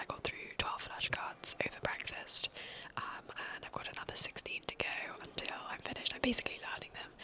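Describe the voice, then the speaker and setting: A woman whispers at a fairly quick pace in a British accent, with noticeable background noise behind her. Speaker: university student vlogger. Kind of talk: casual vlog narration. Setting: outdoors walking; library. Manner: whispering in library.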